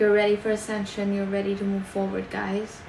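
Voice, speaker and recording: The recording carries audible room echo along with noticeable background noise. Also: woman. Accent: non-native. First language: not English. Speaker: tarot card reader. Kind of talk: tarot reading monologue. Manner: halting, many fillers.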